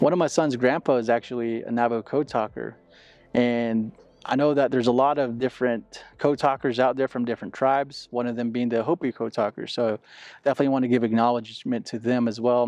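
Over faint background music, a man talks at a very fast pace with fairly even intonation, and the sound is dry with no echo. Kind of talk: interview answer. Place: street. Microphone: lapel.

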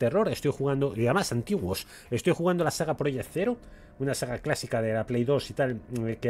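Unforced reading voice, lively in intonation

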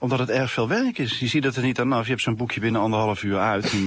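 The man speaks at a fairly quick pace. The sound is dry, with no echo. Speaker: interviewee. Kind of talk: interview answer.

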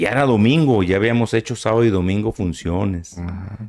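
A man with an ordinary speaking voice talks at a fairly low pitch and moderate pace. His pitch variation is ordinary, and the background is quiet. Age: 60s. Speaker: son of a famous musician; interview guest. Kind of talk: interview. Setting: studio. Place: studio. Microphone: studio mic.

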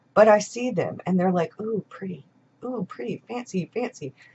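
A woman speaks at a moderate pace with ordinary pitch variation. Her voice is somewhat breathy. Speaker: journaling and planner YouTuber. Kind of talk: casual vlog monologue. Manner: chatty. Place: home room. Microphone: webcam.

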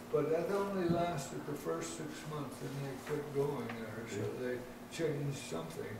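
A man speaks with ordinary pitch variation. Audible room echo and noticeable background noise fill the recording. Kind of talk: interview answer. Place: office.

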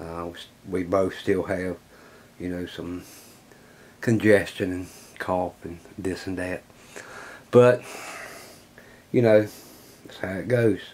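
A man speaks very slowly with a very deep, low pitch and fairly even intonation. Long, frequent pauses run through his speech. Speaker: hobby workshop channel host. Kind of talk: casual vlog chat. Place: workshop.

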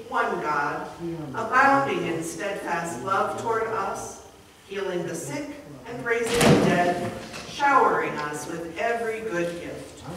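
A woman speaks at a fairly slow pace. Audible room echo and loud background noise surround her voice. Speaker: pastor leading worship. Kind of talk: liturgy. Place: church. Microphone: camera far.

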